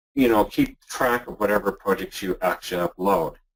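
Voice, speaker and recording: A man with a Canadian accent speaks at a moderate pace in a fairly low pitch with ordinary pitch variation, an ordinary speaking voice. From Canada. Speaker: internet marketer. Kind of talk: software demo tutorial in a webinar. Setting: webinar call.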